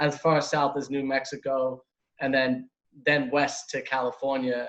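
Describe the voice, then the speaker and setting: A man's medium-pitched voice in a strong New York accent. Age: 20s. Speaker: van lifer. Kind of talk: interview.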